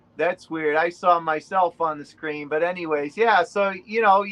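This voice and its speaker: A man speaks with a Boston accent. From New England, Rhode Island. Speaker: relic hunter. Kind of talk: casual interview.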